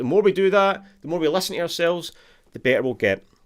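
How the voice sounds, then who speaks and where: Talking at a very fast pace, a man with a Scottish accent uses lively intonation. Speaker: guitar teacher. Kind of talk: live online guitar lesson. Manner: animated.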